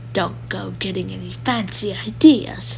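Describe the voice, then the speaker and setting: Someone performs a put-on character voice at a moderate pace over clear background noise. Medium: read story. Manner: growling, grumpy.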